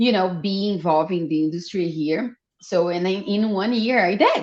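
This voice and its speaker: Speaking with a Brazilian Portuguese accent, a woman keeps a moderate pace and medium pitch with ordinary pitch variation. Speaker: fashion designer and entrepreneur. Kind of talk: podcast interview.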